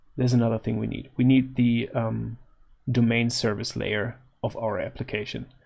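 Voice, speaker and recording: Somewhat breathy and at a medium pitch, a man talks at a moderate pace. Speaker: software developer. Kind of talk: tutorial. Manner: casual, hesitant with fillers.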